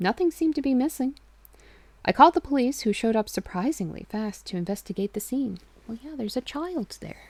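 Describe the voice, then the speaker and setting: A woman's somewhat breathy voice with very wide pitch swings, at a fairly quick pace, in a dry, close sound with no echo. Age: 30s. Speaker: streamer reading horror stories. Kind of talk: reading aloud. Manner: stutters, trips over words.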